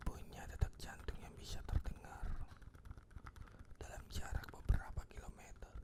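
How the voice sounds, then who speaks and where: Whispering fairly slowly, someone pauses long and often, with noticeable noise in the background. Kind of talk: ASMR whisper fact reading for sleep. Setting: close-up microphone studio. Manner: whispered, soft, slow.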